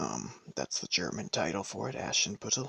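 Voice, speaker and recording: Soft-spoken, the man talks with vocal fry. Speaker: ASMR storyteller. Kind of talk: casual introduction to camera.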